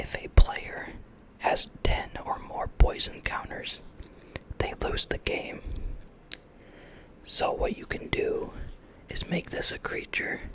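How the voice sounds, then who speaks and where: Someone whispers at a very slow pace, with long, frequent pauses. Noticeable background noise sits behind the voice. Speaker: ASMR creator. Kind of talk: ASMR card game tutorial. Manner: whispered.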